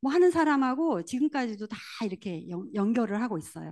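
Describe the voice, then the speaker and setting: A woman's animated, fairly high voice with lively intonation at a moderate pace, over a quiet background. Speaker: network marketing leader. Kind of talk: motivational seminar talk.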